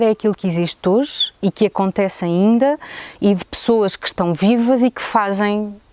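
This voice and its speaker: Fairly slow speech with a dry, close sound and no echo. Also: woman. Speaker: tourism business owner. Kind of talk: interview testimony. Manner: halting.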